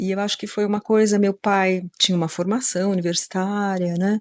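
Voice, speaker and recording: A woman speaks at a moderate pace and medium pitch in a monotone, flat intonation. The background is quiet. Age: 60s. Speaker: occupational therapist. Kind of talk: interview conversation. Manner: hesitant, many fillers.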